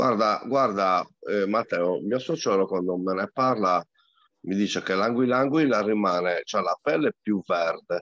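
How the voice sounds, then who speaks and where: A man speaks at a fairly low pitch with ordinary pitch variation. The sound is dry with no echo, and the background is quiet. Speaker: angler; guest. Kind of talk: casual chat. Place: home room. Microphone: video call.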